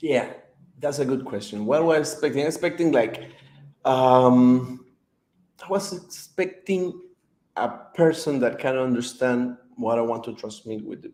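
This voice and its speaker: A man with a non-native accent speaks at a medium pitch and a moderate pace, with ordinary pitch variation. His loudness swings widely, and he leaves long, frequent pauses. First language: not English. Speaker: author. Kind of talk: interview. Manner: halting, many fillers.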